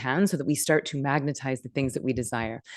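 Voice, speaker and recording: Against a quiet background, a woman with a very deep, low voice talks fairly quickly in an animated tone, her pitch varying in an ordinary way. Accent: American. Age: 40s. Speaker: meditation teacher. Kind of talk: live online workshop. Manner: fast.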